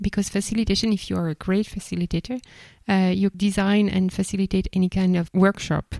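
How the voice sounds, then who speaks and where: A woman with a French accent speaks fairly quickly at a medium pitch, her tone dark and mellow. Her intonation is flat and monotone, and the sound is dry and close with no echo. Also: very clean recording, silent background. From France, Bordeaux. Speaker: podcast host, facilitator. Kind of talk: casual chat.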